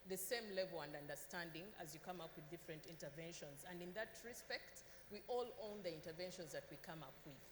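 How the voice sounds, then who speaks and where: A woman talks at a fairly quick pace and medium pitch. Her intonation is lively, over noticeable background noise. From Uganda. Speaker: government official. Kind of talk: panel discussion.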